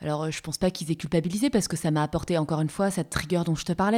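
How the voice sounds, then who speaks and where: The voice has a dark, mellow tone, ordinary pitch variation and a very fast pace. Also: woman. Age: 30s. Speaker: career change coach. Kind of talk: casual interview.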